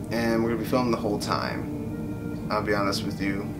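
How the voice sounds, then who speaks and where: Loud background noise runs through the clip. Over it, a man talks at a moderate pace. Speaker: YouTuber. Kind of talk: casual talk to camera. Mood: reflective, subdued. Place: home room. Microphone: phone near.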